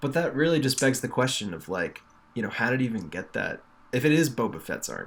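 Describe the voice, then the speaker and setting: A man with an American accent talks at a very fast pace, his voice showing vocal fry. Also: medium pitch for a man, lively intonation. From New York. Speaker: podcast co-host. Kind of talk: casual chat. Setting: remote call.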